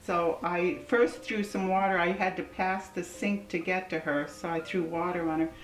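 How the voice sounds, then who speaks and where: A woman with an American accent speaks in a fairly low voice with lively intonation and hardly any pauses over noticeable background noise. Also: moderate pace. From US West Coast, San Diego. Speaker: interviewee. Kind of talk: oral history interview. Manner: hesitant, many fillers.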